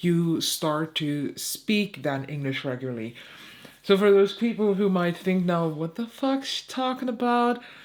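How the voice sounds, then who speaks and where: A woman's medium-pitched voice with a German accent, very wide pitch swings and a fairly slow pace. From eastern Germany, Saxony. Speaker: beauty YouTuber. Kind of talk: casual chat. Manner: hesitant.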